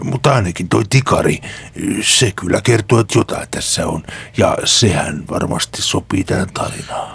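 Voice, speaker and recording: A man puts on a character voice set at a fairly low pitch. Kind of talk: rough street slang. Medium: actual play. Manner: slangy, blunt, colloquial.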